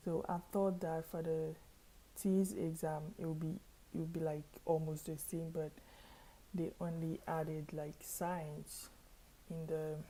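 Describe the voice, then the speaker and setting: A woman's fairly low, somewhat breathy voice in a monotone, flat intonation, broken by long, frequent pauses. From Haiti. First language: not English; Haitian Creole or French. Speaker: student and vlogger. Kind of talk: casual vlog. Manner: hesitant, many fillers.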